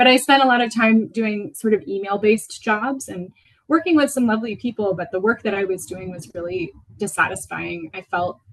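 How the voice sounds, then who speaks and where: A woman talks at a fairly quick pace with an American accent. Her voice is somewhat breathy and fairly high-pitched. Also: lively intonation. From Venezuela (Caracas), international school, American mother. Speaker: potter. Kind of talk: lecture. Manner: hesitant, many fillers.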